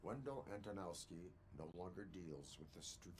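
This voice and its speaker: A put-on character voice from a man, very deep and low in pitch, at a moderate pace over loud background noise. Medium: video game. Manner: flat, clipped, formal.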